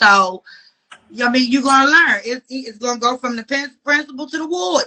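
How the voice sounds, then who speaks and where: A high-pitched woman with a slight DC accent speaks at a moderate pace, her loudness swinging widely while her pitch varies in an ordinary way. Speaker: podcast co-host. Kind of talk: casual chat. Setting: Instagram live stream.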